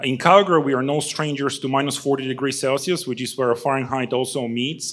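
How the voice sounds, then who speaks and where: With a non-native accent, a man speaks at a medium pitch and a fairly quick pace. His intonation is fairly even. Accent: noticeable foreign. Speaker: startup founder. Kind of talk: pitch presentation. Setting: stage with audience. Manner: many fillers (uh, um).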